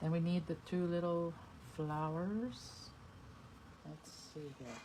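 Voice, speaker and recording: A woman with a fairly low pitch and a dark, mellow tone speaks at a very slow pace, somewhat breathy, with ordinary pitch variation, big swings in loudness, and audible room echo. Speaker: card-making demonstrator. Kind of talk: tutorial. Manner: soft-spoken at times; casual, thinking aloud.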